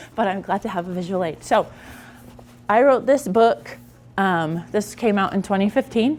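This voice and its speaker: A woman with a medium pitch, lively intonation and long, frequent pauses. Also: moderate pace. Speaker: conference speaker and author. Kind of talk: conference talk. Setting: conference room with live audience. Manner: loud, projecting.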